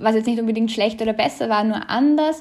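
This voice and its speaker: High-pitched, a woman speaks with ordinary pitch variation. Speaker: student. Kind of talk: interview.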